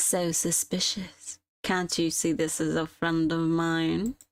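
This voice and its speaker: A female-sounding, put-on character voice growls at a middle pitch. It is husky and fairly slow. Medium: game stream. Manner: light, cheerful, teasing.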